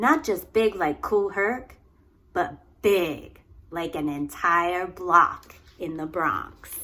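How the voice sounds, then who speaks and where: A woman with an American accent, fairly low-pitched, with ordinary pitch variation and a very slow pace. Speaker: early childhood educator. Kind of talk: children's read-aloud.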